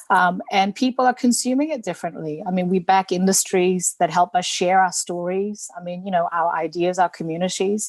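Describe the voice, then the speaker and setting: A woman with a Korean accent speaks at medium pitch with ordinary pitch variation. Her pace is fairly quick, with hardly any pauses. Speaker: politician. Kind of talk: panel debate. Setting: video call.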